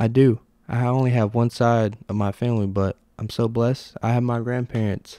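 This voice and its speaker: In a very clean recording with a silent background, a man with an unremarkable speaking voice talks at a moderate pace and medium pitch, his intonation fairly even and the sound dry and close with no echo. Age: 20s. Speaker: solo podcast host. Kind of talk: casual solo monologue, livestreamed. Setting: home recording, live on Instagram. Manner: casual, conversational with filler words.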